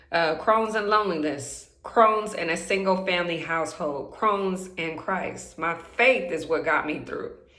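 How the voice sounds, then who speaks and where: In a room with audible echo, a woman talks at a fairly slow pace, her medium pitch showing ordinary variation. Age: 30s. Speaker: vlogger sharing chronic illness story. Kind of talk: personal testimony vlog. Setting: bathroom at home. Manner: excited, slightly halting.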